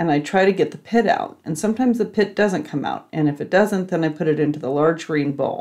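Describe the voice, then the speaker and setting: A woman speaks in an ordinary speaking voice, with a fairly low pitch and ordinary pitch variation. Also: quiet background. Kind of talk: tutorial. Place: kitchen. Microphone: phone near.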